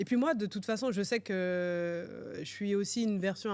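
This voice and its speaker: A woman talks at a fairly slow pace, her pitch varying in an ordinary way, on a very clean recording with a silent background. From France, Paris region. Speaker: finance executive and entrepreneur. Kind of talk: podcast interview. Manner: hesitant, many fillers.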